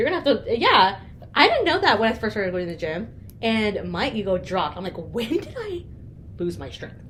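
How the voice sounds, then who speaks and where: Over noticeable background noise, a woman with a fairly high pitch talks at a fairly quick pace with very wide pitch swings. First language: not English. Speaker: podcast co-host. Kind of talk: casual chat.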